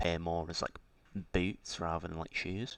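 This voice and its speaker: The recording is very clean with a silent background. In it, a man talks with a very deep, low pitch. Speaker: indie game developer. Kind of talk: casual tutorial-style dev diary. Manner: hesitant, many fillers.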